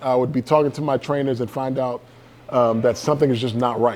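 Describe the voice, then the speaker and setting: This man has an ordinary speaking voice, speaking at a medium pitch and moderate pace with fairly even intonation. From US South, Georgia. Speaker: motivational speaker. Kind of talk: keynote speech. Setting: stage with audience.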